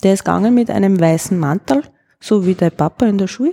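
The woman's dark, mellow voice sits at a medium pitch and moves at a moderate pace, recorded dry and close with no echo. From Upper Austria. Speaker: ceramicist. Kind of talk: casual interview.

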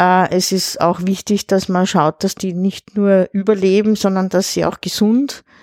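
A woman speaks in a dark, mellow tone at a medium pitch. The sound is dry and close with no echo, on a very clean recording with a silent background. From Austria, Lower Austria near Vienna. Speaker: retired school principal and beekeeper. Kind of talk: casual chat.

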